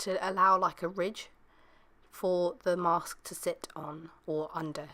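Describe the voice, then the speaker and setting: A woman speaks at a medium pitch with a British accent. Her pace is very slow. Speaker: beauty vlogger. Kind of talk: tutorial.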